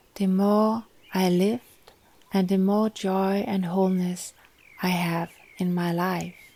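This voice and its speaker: Very slow and broken by long, frequent pauses, a woman's medium-pitched voice has a gentle tone, flat monotone intonation and very even loudness. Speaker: wellness expert, yoga teacher. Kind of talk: guided meditation.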